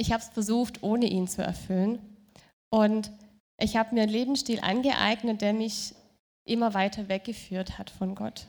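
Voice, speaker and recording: In a very clean recording with a silent background, a woman with a fairly high pitch speaks at a moderate pace in a monotone, flat intonation, leaving long, frequent pauses. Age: young. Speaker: churchgoer giving testimony. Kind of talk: testimony. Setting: stage with audience.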